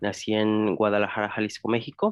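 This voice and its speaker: A man's fairly low-pitched voice in a flat monotone. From US Midwest, Indianapolis. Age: 20s. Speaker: podcast guest. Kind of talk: interview.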